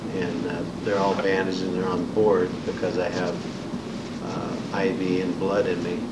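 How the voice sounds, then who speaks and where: A man with an American accent speaks at a fairly slow pace over loud background noise. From Indiana, US Midwest. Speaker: Vietnam War veteran. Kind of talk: oral history interview, recalling war experiences and wounds. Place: meeting room.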